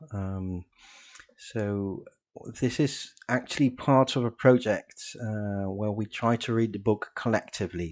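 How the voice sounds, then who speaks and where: Speaking fairly slowly, a man with a Dutch accent uses a fairly low pitch and ordinary pitch variation. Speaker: political educator reading group leader. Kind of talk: lecture. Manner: halting, many fillers.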